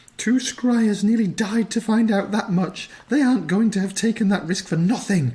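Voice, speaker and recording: Put-on character voice from a man, pitched high, delivered at a moderate pace. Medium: actual play. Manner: cool, tart, over-dramatic.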